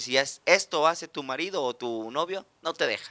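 The man's voice has a bright, sharp tone and a dry, close sound with no echo. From Mexico. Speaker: comedian. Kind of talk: casual chat.

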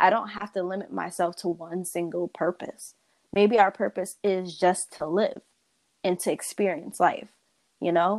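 A woman with an American accent speaks at a fairly slow pace. Her medium-pitched voice has monotone, flat intonation. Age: 20s. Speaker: guest. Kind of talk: casual interview chat. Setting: remote call.

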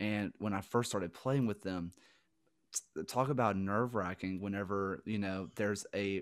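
With a strong Southern US accent, a man speaks at a fairly low pitch and moderate pace, using ordinary pitch variation. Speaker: guest, teacher and former football player. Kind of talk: casual interview chat. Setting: video call.

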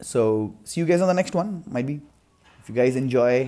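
A man's dark, mellow tone with an Indian accent at a fairly quick pace, on a very clean recording with a silent background. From India, Mumbai. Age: 20s. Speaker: podcaster and filmmaker. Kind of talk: solo podcast monologue.

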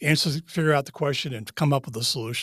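Recorded very cleanly against a silent background, a man with an American accent speaks in a fairly high, somewhat breathy voice with ordinary pitch variation and a dry, close sound with no echo. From US Northeast (Massachusetts). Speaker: retired naval officer. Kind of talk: interview storytelling.

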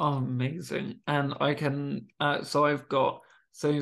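This man's voice sits at a medium pitch with a fairly bright tone, some vocal fry, and little pitch movement.

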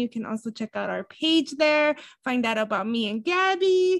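A woman with a high pitch talks in an animated tone, recorded with a dry, close sound and no echo. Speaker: podcast co-host. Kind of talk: casual chat.

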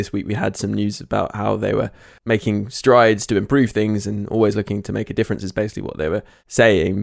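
The delivery is monotone and flat, with vocal fry at a fairly quick pace. The recording is very clean, with a silent background. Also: man. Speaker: podcast host. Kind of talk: casual chat.

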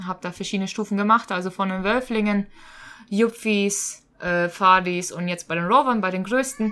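A woman with an unremarkable speaking voice talks at a moderate pace and medium pitch, her intonation fairly even. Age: 20s. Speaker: teacher and scout leader. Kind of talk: casual interview.

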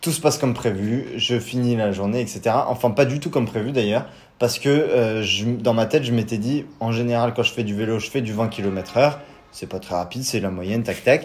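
A man talks in a normal speaking voice at medium pitch. His pace is moderate. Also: ordinary pitch variation. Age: 20s. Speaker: cycling traveler, engineering graduate. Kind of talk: interview.

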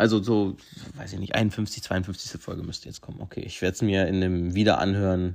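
Here a man speaks at a very deep, low pitch and a moderate pace. His loudness swings widely. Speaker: podcast host. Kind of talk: casual monologue. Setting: at home. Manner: energetic.

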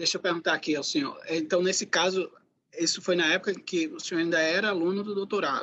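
Talking at a very fast pace, a man speaks at a high pitch. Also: ordinary pitch variation. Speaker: podcast host, sociology professor. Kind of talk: interview conversation.

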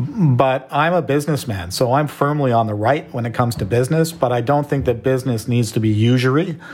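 A man with a Canadian accent speaks in an ordinary speaking voice at a medium pitch and fairly quick pace, with ordinary pitch variation and hardly any pauses. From Canada. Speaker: entrepreneur and filmmaker. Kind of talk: interview conversation.

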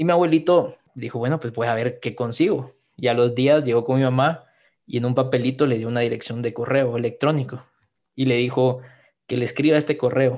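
A normal speaking voice at a fairly quick pace, with fairly even intonation over a quiet background. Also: man. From Guatemala. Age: 20s. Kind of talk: podcast interview, personal testimony.

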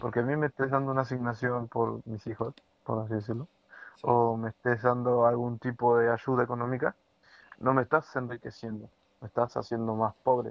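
Speaking at a fairly quick pace, a man keeps his delivery moving. His intonation stays monotone and flat. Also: medium pitch for a man. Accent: Rioplatense. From Argentina, Entre Ríos. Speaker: podcast co-host. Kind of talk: casual chat. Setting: home recording.

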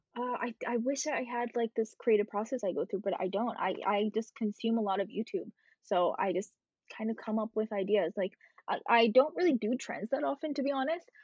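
With an American accent, a woman talks at a fairly quick pace in a plain, everyday voice, fairly high in pitch and lively in intonation. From India and New Jersey. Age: 20s. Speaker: content creator and coder. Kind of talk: casual chat.

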